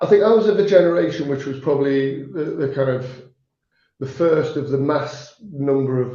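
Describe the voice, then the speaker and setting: A man with a fairly high pitch and a dark, mellow, somewhat breathy tone talks at a moderate pace with ordinary pitch variation, with audible room echo. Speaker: manufacturing account manager. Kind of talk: podcast interview. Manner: halting, many repeated words.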